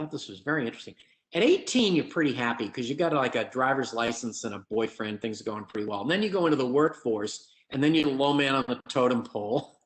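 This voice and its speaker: A man's fairly high-pitched, a normal speaking voice at a fairly quick pace. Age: 60s. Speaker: economist presenter at a forum. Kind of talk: presentation with slides. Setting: virtual event.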